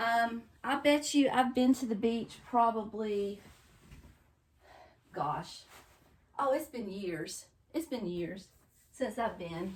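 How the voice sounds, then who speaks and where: Speaking very slowly with long, frequent pauses, a woman with a North Carolina accent uses lively intonation at a fairly high pitch. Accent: North Carolina Southern. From North Carolina coast, US South. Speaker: home decor vlogger. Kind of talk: casual vlog chat. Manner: rambling conversational, chatty.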